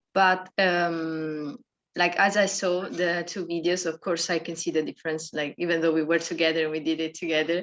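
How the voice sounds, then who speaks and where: A woman with a non-native accent speaks in a fairly low voice with monotone, flat intonation. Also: moderate pace, quiet background. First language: not English. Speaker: dance workshop participant. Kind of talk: group discussion. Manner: hesitant, many fillers.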